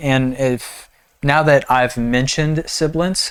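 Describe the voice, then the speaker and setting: A man with a fairly high pitch talks at a moderate pace. The recording is very clean, with a silent background. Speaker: music producer and rapper. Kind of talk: tutorial. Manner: casual, explanatory.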